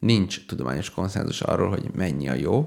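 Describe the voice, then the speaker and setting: At a moderate pace, a man talks with a fairly low pitch and vocal fry. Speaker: radio show co-host, university assistant lecturer. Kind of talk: casual chat.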